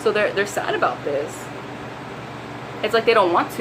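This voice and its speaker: A woman at a very fast pace and medium pitch, with noticeable background noise and audible room echo. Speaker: tarot reader. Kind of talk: tarot reading video. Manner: animated.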